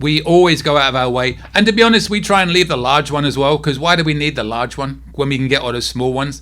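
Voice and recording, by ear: Talking at a very fast pace with hardly any pauses, a man has a bright, sharp tone. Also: fairly high pitch for a man, ordinary pitch variation.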